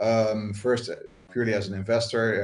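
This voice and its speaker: The voice has a Dutch accent and is somewhat breathy. It moves at a moderate pace. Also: man. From Netherlands. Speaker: crypto investor. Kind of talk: panel talk. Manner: halting.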